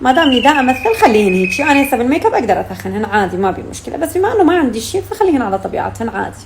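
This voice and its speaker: A high-pitched woman at a very fast pace with very wide pitch swings, amid noticeable background noise. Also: hardly any pauses. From Syria. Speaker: actress. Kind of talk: casual chat.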